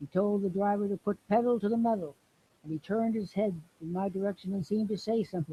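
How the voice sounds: The voice reads naturally.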